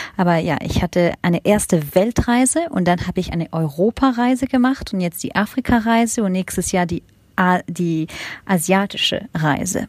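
The recording has a dry, close sound with no echo as a woman speaks at a medium pitch and a moderate pace, somewhat breathy. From Germany and France. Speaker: education consultant and startup founder. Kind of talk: interview. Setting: remote call. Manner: hesitant, many fillers.

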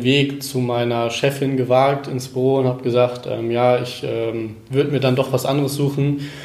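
In a monotone, flat intonation, a man at a medium pitch speaks at a moderate pace, with audible room echo and noticeable background noise. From northern Germany, Cuxhaven. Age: 20s. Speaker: former tennis player, fitness trainer. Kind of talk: interview. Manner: halting, many fillers.

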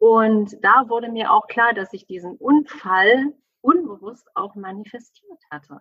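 A woman speaks at a very slow pace with a fairly high pitch. Her intonation is lively and her loudness swings widely. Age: 40s. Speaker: family coach. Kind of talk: interview. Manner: animated.

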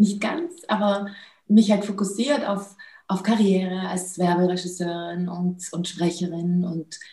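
Her voice has a dark, mellow tone and a fairly low pitch. The woman speaks at a very slow pace with fairly even intonation. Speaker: film producer and awakening coach. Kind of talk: interview. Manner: halting, many fillers.

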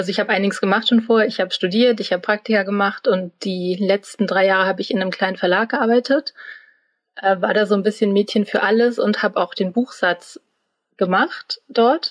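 A woman with a normal speaking voice at medium pitch, fairly quick in pace and fairly even in intonation, recorded dry and close with no echo. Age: 30s. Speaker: trainee media designer. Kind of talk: interview.

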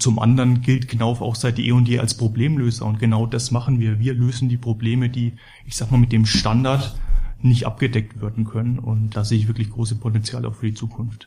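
A man speaks at a fairly quick pace and a medium pitch in a monotone, flat intonation. Noticeable background noise runs beneath him. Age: 30s. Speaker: building materials company employee. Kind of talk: corporate podcast interview.

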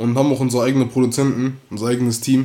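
This man's pitch is medium and his tone dark and mellow. He talks at a fairly quick pace. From Bonn, Germany. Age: 18. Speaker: rapper. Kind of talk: casual interview.

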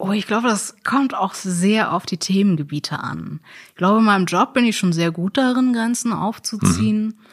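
A woman speaks at a moderate pace with a medium pitch, ordinary pitch variation, and a somewhat breathy quality. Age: 30s. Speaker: sex worker. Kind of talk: interview.

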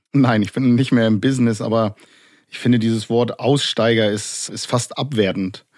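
With fairly even intonation, an ordinary speaking voice proceeds at a moderate pace. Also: man, medium pitch for a man. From Germany. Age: 40s. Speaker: former neo-Nazi, now exit counselor. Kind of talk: podcast interview.

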